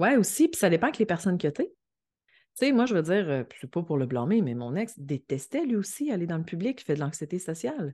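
A dark, mellow tone with very wide pitch swings at a fairly quick pace, over a quiet background. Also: woman, fairly low pitch for a woman. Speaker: astrologer. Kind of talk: casual chat. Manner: calm.

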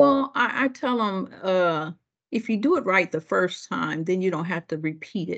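The woman has a normal speaking voice, a medium pitch and an American accent. Her intonation is lively, her pace is moderate, and the background is quiet. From Ohio, US Midwest. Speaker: district manager, former bus driver. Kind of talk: interview.

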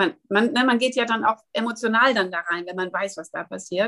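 Recorded dry and close with no echo, a woman talks at a moderate pace with lively intonation. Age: 60s. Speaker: wellness educator. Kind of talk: interview.

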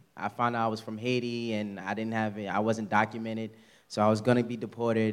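A man with a New York accent talks at a very fast pace in a medium pitch. The recording is very clean, with a silent background. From New York (Queens). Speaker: church member giving testimony. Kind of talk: testimony. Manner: halting.

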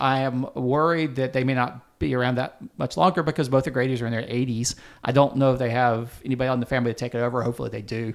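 Speaking at a very fast pace with an American accent, a man of medium pitch comes through on a very clean recording with a silent background. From US South, upstate South Carolina. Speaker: barbecue writer and culinary historian. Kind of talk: casual interview. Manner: halting.

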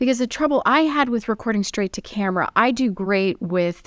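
A woman's plain, everyday voice at medium pitch, fairly quick in pace with lively intonation, on a very clean recording with a silent background. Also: dry, close sound with no echo. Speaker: media coach and chef. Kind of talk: casual interview chat.

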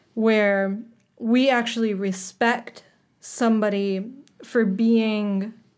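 In a medium pitch, a woman speaks with monotone, flat intonation. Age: 20s. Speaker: online shop owner. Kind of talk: casual chat.

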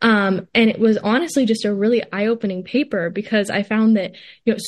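A woman talks at a fairly quick pace in a fairly high pitch. She has an ordinary speaking voice. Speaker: college student. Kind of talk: interview.

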